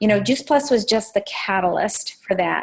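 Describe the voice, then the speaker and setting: A woman at a medium pitch and moderate pace. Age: 60s. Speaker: network marketing distributor. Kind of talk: testimony. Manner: halting.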